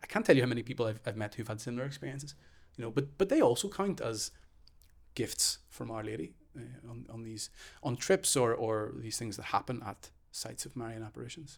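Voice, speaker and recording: A man with a Northern Irish accent talks at a very fast pace with medium pitch. His intonation is lively, with big swings in loudness. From Northern Ireland. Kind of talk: casual chat.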